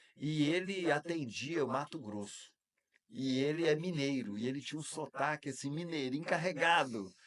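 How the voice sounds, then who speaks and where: A man with an ordinary speaking voice talks at a moderate pace and fairly high pitch, with ordinary pitch variation. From Minas Gerais, Brazil (Varginha). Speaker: speech therapist and public speaking teacher. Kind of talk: podcast interview.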